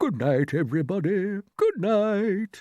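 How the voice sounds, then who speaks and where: Against a quiet background, a man puts on a character voice, high in pitch with lively intonation, at a fairly slow pace. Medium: read story. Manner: courteous, measured.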